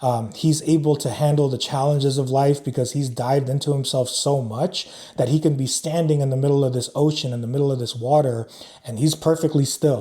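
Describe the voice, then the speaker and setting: A man speaks with a fairly high pitch and a dark, mellow, somewhat breathy tone. His pace is fairly quick and his intonation fairly even. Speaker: tarot reader. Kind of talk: tarot reading. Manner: casual, filler-heavy.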